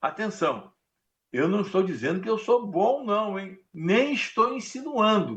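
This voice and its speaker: A man with a high voice talks very slowly, his intonation lively. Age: 80s+. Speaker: pastor. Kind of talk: sermon.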